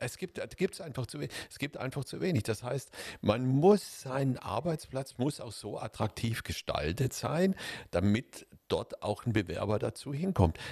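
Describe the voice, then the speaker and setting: A man with a dark, mellow tone and vocal fry speaks fairly slowly at a medium pitch, with very wide pitch swings and big swings in loudness, in a dry, close sound with no echo. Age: 60s. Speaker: podcast co-host. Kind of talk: casual discussion.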